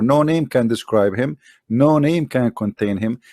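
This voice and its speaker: A man with an Arabic accent speaks at a medium pitch with ordinary pitch variation, recorded very cleanly over a silent background with a dry, close sound and no echo. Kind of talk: explanatory lecture. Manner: halting, with fillers and repetitions.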